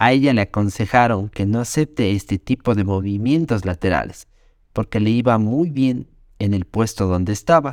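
An ordinary speaking voice comes at a fairly slow pace in a dry, close sound with no echo and a very clean recording with a silent background. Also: man. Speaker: podcast host. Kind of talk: scripted narration; interview.

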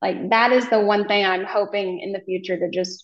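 Using a plain, everyday voice, a woman with an American accent speaks at a moderate pace and medium pitch, with ordinary pitch variation. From Oklahoma. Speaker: hairstylist and content creator. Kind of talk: casual chat.

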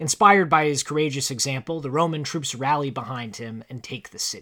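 This very clean recording has a silent background and a man speaking at a moderate pace. His tone is bright and sharp, with ordinary pitch variation. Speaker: podcast co-host. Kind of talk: scripted narration; casual chat. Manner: articulate.

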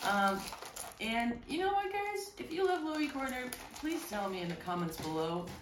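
A loud woman's voice at a moderate pace, with very wide pitch swings and noticeable background noise. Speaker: stand-up comedian and podcast co-host. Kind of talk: casual comedic chat. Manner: animated.

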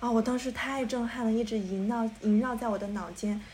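Somewhat breathy, a woman speaks at a fairly high pitch. Her intonation stays fairly even. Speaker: podcast co-host. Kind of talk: casual chat.

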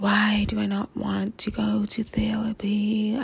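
The speaker puts on a character voice. Delivery is fairly slow. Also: female-sounding voice, medium pitch for a woman. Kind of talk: soothing, clinical.

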